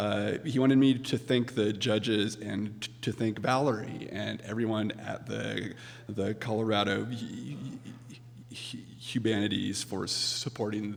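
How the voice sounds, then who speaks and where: A man at a fairly slow pace with fairly even intonation and a medium pitch, with music in the background and audible room echo. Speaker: accepting award on author's behalf. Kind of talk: award acceptance speech. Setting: stage with audience. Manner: halting.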